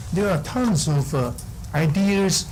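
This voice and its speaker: Speaking at a moderate pace with ordinary pitch variation, a man is heard with audible room echo and noticeable background noise. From Taiwan. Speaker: school board applicant. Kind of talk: public meeting statement. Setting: city council meeting. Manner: halting, many fillers.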